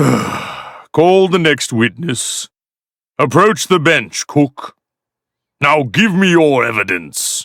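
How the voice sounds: Using a cartoonish character voice, a man speaks at a very slow pace with a fairly high pitch.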